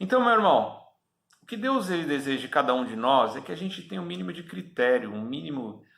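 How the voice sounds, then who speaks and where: This man's voice has vocal fry and very wide pitch swings, delivered at a moderate pace. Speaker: preacher. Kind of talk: sermon.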